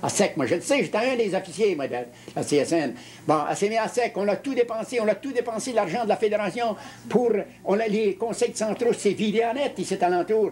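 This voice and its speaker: At a fairly quick pace, a man talks in a high pitch with ordinary pitch variation. Noticeable background noise runs behind him. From Quebec. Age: 70s. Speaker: retired union leader. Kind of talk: interview. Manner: halting, with many repetitions.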